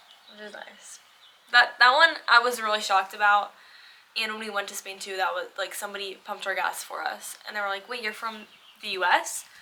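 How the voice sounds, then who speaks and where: Fairly quick and with an American accent, a woman with fairly high pitch speaks with ordinary pitch variation and big swings in loudness. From United States. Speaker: lifestyle vlogger. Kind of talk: casual chat. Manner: animated.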